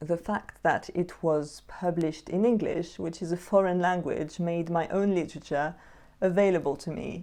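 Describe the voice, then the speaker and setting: A woman's fairly low voice with a French accent, dark and mellow in tone, at a moderate pace with fairly even intonation and a quiet background. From Switzerland, Jura region. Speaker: poetry youtuber. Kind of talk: tutorial.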